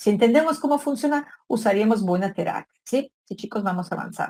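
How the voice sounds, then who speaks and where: A somewhat breathy woman with a fairly high pitch talks at a moderate pace, her intonation lively. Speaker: psychology lecturer. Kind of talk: online lecture.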